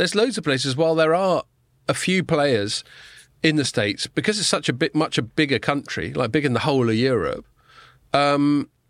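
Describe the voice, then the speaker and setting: The speaker has an English accent and lively intonation. The pace is moderate. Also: man. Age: middle-aged. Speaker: podcast host. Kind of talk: casual chat. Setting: studio.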